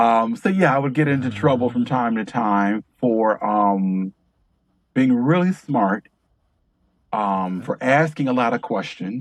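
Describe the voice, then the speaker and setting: Here is a normal speaking voice with an American accent and lively intonation. The pace is fairly slow. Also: man, medium pitch for a man. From Detroit, US Midwest. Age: 50s. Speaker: author and filmmaker. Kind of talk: interview conversation.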